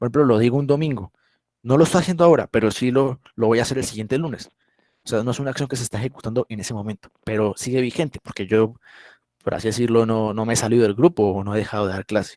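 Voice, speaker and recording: Talking at a very fast pace, a man with a medium pitch is recorded with a dry, close sound and no echo. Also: ordinary pitch variation. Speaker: English teacher. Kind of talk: online class lecture. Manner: halting.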